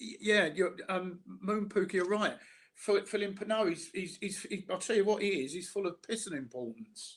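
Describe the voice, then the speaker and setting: In a Cockney accent, a man with a high pitch speaks at a moderate pace with ordinary pitch variation. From South London, England. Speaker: online commentator. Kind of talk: casual chat. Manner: halting, repeats words.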